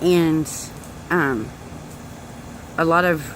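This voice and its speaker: Speaking with a very deep, low pitch, a woman is heard over noticeable background noise. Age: 30s. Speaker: direct sales distributor. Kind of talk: personal testimony vlog. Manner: casual, hesitant with many fillers.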